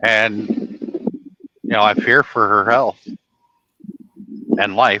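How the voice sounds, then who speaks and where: A man with a New England accent at a very slow pace, his loudness very even and his pauses long and frequent. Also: dry, close sound with no echo. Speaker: livestream host. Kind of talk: casual chat.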